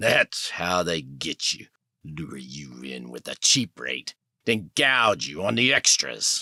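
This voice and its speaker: Using a put-on character voice, a man growls at a very deep, low pitch with very wide pitch swings. He moves at a fairly slow pace, and his loudness swings a lot. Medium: read story. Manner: cocky, streetwise.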